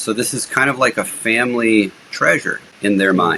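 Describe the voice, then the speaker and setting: A plain, everyday voice from a man at medium pitch, with fairly even intonation. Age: 50s. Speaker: real estate investor. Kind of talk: podcast interview. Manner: conversational, with frequent fillers and restarts.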